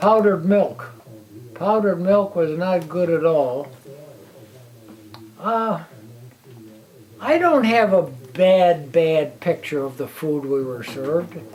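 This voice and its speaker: A man's high-pitched voice in an American accent, lively in intonation, at a very slow pace with long, frequent pauses, over noticeable background noise. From Illinois, near Chicago. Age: 80s+. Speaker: war veteran. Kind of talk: interview testimony. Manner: halting, repeating words.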